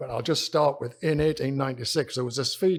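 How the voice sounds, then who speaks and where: A British accent in a man's voice. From UK. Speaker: company executive. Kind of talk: conference presentation.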